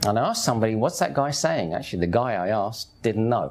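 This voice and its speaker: Talking at a very fast pace, a man with a Cockney accent uses lively intonation. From East London, England. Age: 50s. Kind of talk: personal testimony. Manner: conversational.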